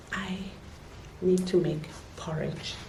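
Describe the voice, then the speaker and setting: A woman whispers at a very slow pace. There is noticeable background noise and audible room echo. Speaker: vlogger. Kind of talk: casual vlog talk. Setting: at home. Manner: whispering.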